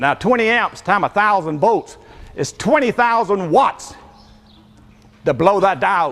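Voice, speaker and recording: A man's high-pitched, animated voice with a Southern US accent, lively intonation and a fairly slow pace broken by long, frequent pauses. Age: 70s. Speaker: inventor. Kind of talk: live demonstration.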